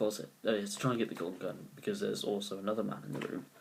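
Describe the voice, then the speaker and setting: A man speaks quietly in a British accent. Noticeable background noise runs underneath. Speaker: amateur film reviewer. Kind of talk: casual movie review to camera. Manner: quiet, low volume; hesitant, many fillers.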